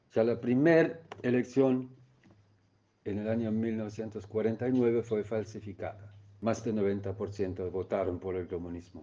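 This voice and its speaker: This man speaks at a moderate pace in a fairly low pitch, his tone dark and mellow and his pitch variation ordinary. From East Germany. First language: German (speaking Spanish). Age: 70s. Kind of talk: testimony. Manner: halting.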